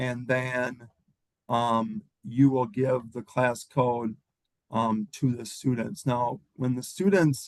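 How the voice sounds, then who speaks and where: The man keeps a medium pitch with ordinary variation while speaking at a very slow pace. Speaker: teacher. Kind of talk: tutorial.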